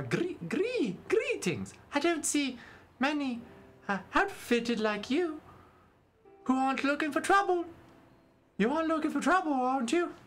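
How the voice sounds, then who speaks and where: A man speaks in a put-on character voice at an extremely high pitch and a moderate pace, with long, frequent pauses. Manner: suspicious, challenging.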